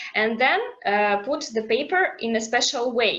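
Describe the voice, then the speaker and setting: With a non-native accent, the speaker delivers the words at a fairly slow pace. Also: woman. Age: 20s. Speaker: activist. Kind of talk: testimony. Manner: halting.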